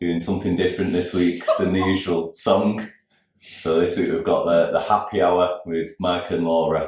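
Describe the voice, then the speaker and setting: A man with a Manchester accent, at a moderate pace. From South Manchester, England. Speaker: cover band musician. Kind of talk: casual chat.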